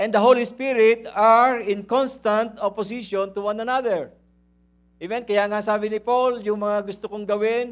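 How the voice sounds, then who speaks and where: A man speaks loudly at a high pitch with monotone, flat intonation. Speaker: pastor. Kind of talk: sermon. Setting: church.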